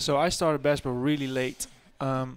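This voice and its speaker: Recorded very cleanly over a silent background, a man speaks with a Dutch accent. His pitch is medium and his pace moderate. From Netherlands. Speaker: college basketball player. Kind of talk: radio interview.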